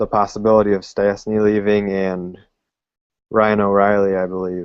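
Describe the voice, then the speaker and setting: Pitched fairly low, a man talks at a moderate pace in a flat monotone. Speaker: sports podcast host. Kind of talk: casual sports analysis talk.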